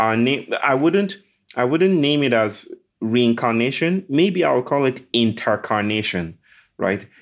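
A man with a Nigerian accent speaks at a fairly slow pace and medium pitch, his pitch swinging very widely. His loudness stays very even against a quiet background. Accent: Nigerian (Yoruba) English. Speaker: author and speaker. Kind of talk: interview.

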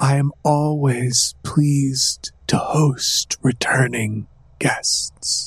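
A man in a put-on character voice, fairly high-pitched, at a very slow pace. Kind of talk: regal formal speech. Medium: actual play. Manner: stilted, falsely gracious.

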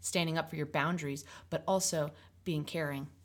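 Vocal fry runs through fairly quick speech with ordinary pitch variation, on a very clean recording with a silent background. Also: woman. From Maine. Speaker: singer-songwriter. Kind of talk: casual chat.

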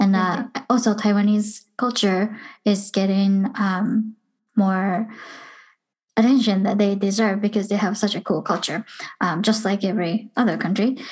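Somewhat breathy and medium-pitched, a woman speaks at a moderate pace with fairly even intonation and very even loudness against a quiet background. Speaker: podcast host. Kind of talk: casual interview.

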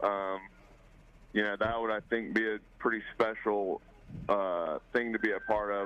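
A man with a medium pitch talks at a moderate pace. It is an unremarkable speaking voice. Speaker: professional baseball player. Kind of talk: interview.

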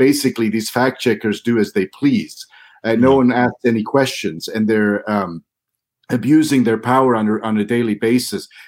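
A man at a moderate pace with an American accent, medium pitch and ordinary pitch variation. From US Midwest, Missouri near Kansas City. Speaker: member of parliament, politician. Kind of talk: interview.

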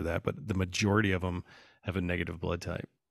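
Very fast, monotone delivery with flat intonation, in a very clean recording with a silent background and a dry, close sound with no echo. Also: man. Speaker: podcast guest. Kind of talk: casual chat.

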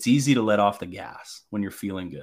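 With a Canadian accent and a moderate pace, this is a normal speaking voice. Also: man, very clean recording, silent background. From Canada (French Canadian). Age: 30s. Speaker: podcast guest. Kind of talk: casual chat.

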